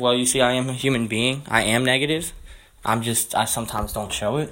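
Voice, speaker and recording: A man's medium-pitched, monotone, flat voice at a moderate pace. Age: 20s. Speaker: podcast host. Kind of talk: motivational monologue. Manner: casual, unscripted with hesitations.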